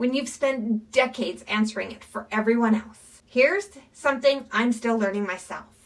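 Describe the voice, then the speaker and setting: This woman has a plain, everyday voice with a fairly high pitch. She speaks at a fairly slow pace with ordinary pitch variation. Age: 50s. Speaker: midlife lifestyle vlogger. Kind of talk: reflective monologue. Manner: calm, earnest.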